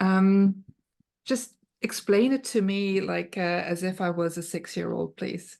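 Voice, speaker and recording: A woman speaks with a German accent at a medium pitch. Her intonation stays fairly even, and her pace is fairly slow. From Germany. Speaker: podcast host. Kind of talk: casual interview chat.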